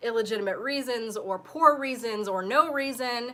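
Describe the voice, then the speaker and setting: Recorded very cleanly against a silent background, a woman talks at a moderate pace in a bright, sharp tone with ordinary pitch variation. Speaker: online political commentator. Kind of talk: live stream headline commentary. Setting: live stream. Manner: casual, hesitant with fillers.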